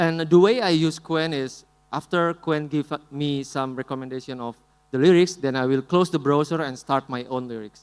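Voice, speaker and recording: In an Indonesian accent, a man speaks at a fairly high pitch with ordinary pitch variation. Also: moderate pace. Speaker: musician. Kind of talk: conference talk with live demo.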